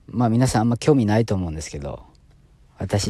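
A man with a slight Osaka accent talks with lively intonation and a dark, mellow tone. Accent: Kansai (Osaka) accent, slight. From Osaka, Japan. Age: 30s. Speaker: pharmaceutical sales rep and new podcaster. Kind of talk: casual solo self-introduction podcast.

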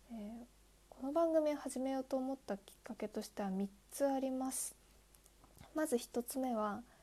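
A woman's high-pitched voice, dark and mellow in tone, at a moderate pace with ordinary pitch variation and long, frequent pauses. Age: 20s. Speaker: podcaster, new office worker. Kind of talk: solo monologue, self-introduction. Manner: hesitant, many fillers.

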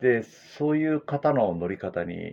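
Very wide pitch swings mark a man's speech. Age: 60s. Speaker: former track cyclist and bike fitter. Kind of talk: casual chat.

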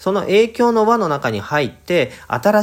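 Male speech, very cleanly recorded against a silent background. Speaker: study-abroad advisor podcaster. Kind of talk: solo talk monologue. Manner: polite formal.

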